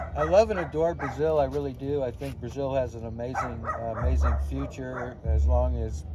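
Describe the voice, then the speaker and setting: A man's medium-pitched voice with an American accent, very wide pitch swings and hardly any pauses, amid audible room echo and noticeable background noise. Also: moderate pace. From San Diego, California. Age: 50s. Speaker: English teacher and language coach. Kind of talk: interview. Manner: halting, many fillers.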